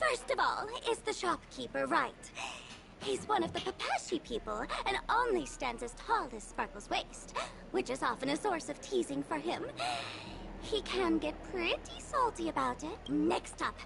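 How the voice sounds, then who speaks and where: At a moderate pace, a put-on character voice with an extremely high pitch comes through over clear background noise. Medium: video game. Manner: calm, explanatory.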